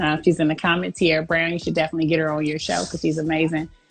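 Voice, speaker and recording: There is music in the background. A woman speaks with an American accent. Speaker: professional boxer. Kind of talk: interview. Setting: live stream interview.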